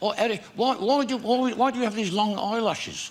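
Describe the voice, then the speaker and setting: A man speaks at an extremely high pitch with ordinary pitch variation, over noticeable background noise. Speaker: comedian. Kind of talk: talk show interview answer. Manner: jolly, joke-telling.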